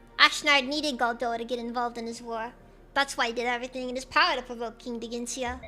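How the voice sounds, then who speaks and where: A woman's high-pitched, put-on character voice at a very fast pace, with music in the background. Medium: virtual streamer. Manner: formal, measured.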